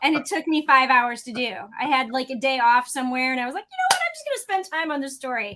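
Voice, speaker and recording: A woman's high, raised and projected voice in a Chicago accent, very fast, with big swings in loudness, ordinary pitch variation and noticeable background noise. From US Midwest, St. Louis. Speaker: automotive YouTube co-host and editor. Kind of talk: casual livestream chat.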